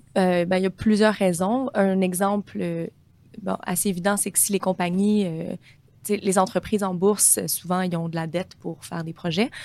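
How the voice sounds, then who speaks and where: A woman with an ordinary speaking voice talks at a moderate pace with fairly even intonation. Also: medium pitch for a woman. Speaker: portfolio manager. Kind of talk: interview.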